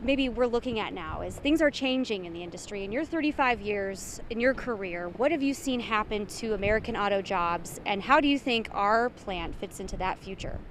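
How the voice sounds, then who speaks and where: A woman with a normal speaking voice talks at a fairly quick pace with hardly any pauses. Her pitch is fairly high and her intonation lively. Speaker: TV news anchor and reporter. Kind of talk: TV news field reporting.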